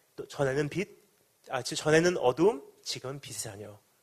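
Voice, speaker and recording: Somewhat breathy, fairly high-pitched speech from a man. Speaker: pastor. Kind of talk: sermon. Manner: fast.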